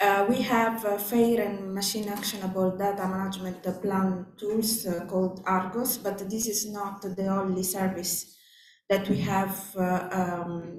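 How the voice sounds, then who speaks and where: Woman with a non-native accent, medium pitch, monotone, flat intonation and a fairly slow pace, with audible room echo and noticeable background noise. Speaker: conference speaker. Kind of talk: conference presentation. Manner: hesitant, many fillers.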